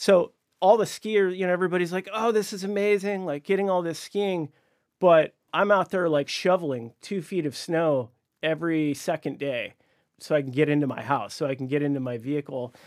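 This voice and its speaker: The intonation is lively and the pace fairly quick in this very clean recording with a silent background. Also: man, high pitch for a man. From Alaska. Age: 40s. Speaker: podcast staff member. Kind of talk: casual debate.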